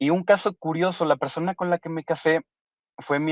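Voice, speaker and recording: A man with a Mexican accent and fairly high pitch speaks at a moderate pace, recorded dry and close with no echo. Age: 30s. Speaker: kidney transplant recipient. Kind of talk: interview testimony.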